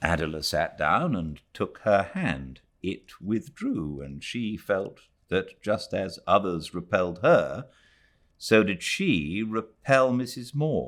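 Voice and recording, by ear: A low-pitched man at a slow pace, fairly bright in tone, with big pitch swings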